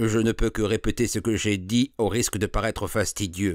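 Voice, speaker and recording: In a put-on character voice, a man speaks at a moderate pace with a fairly low, resonant pitch and very even loudness, the sound dry and close with no echo. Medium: read story. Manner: glib, persuasive.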